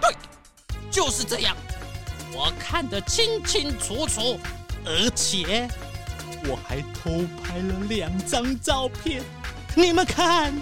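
A woman does a put-on character voice at a fairly high pitch with a fairly bright tone and big pitch swings, moving at a slow pace with long, frequent pauses while faint music plays in the background.

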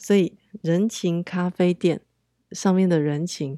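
On a very clean recording with a silent background and a dry, close sound with no echo, a woman speaks at a fairly low pitch with fairly even intonation. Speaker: podcast host. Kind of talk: casual monologue.

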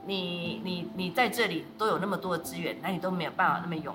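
A woman talks at a very fast pace over noticeable background noise, with audible room echo. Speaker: social welfare official. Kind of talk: interview conversation.

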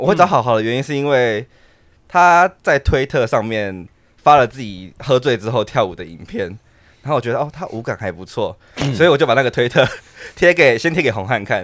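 A man with an unremarkable speaking voice talks at a fairly quick pace and medium pitch. His intonation is lively, and his loudness swings widely. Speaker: dance troupe leader. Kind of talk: casual chat.

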